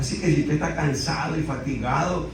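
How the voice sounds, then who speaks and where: A fairly high-pitched man at a moderate pace, with audible room echo and noticeable background noise. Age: 60s. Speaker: pastor. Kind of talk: sermon.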